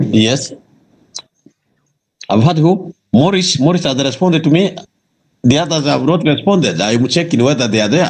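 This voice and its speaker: The voice is somewhat breathy, with lively intonation at a moderate pace. Long pauses come often. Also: man, fairly high pitch for a man. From Uganda, West Nile (Arua). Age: 40s. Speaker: government official. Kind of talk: talk show interview.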